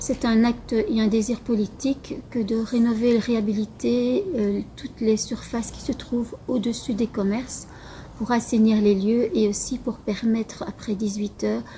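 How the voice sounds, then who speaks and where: Over noticeable background noise, a woman talks at a fairly slow pace. Her pitch is fairly high and her intonation fairly even. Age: 50s. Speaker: local election candidate. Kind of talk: campaign statement. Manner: halting, with many hesitations.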